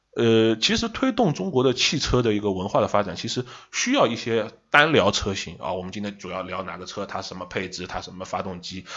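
A man's fairly low voice at a fairly quick pace, with hardly any pauses, ordinary pitch variation and big swings in loudness. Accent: Shanghai. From Shanghai. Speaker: car industry commentator. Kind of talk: casual chat.

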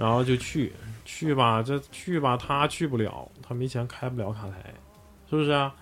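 At a moderate pace and medium pitch, a man speaks in a plain, everyday voice with ordinary pitch variation. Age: 40s. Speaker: bar owner. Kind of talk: casual chat.

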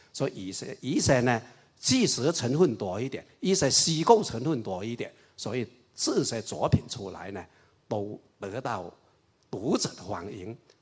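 The voice is somewhat breathy and fairly slow, with very wide pitch swings and big swings in loudness. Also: man, medium pitch for a man. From Raoping, Chaozhou area, eastern Guangdong. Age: 60s. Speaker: party historian and writer. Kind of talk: public lecture dialogue.

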